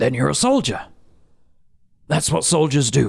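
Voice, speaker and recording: A man uses a put-on character voice, raspy and fairly high in pitch. He talks at a moderate pace. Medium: actual play. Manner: calm, measured.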